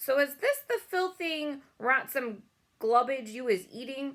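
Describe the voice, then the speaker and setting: A woman uses a put-on character voice with a high pitch. She speaks at a fairly slow pace. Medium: read story. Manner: bullying, shouting.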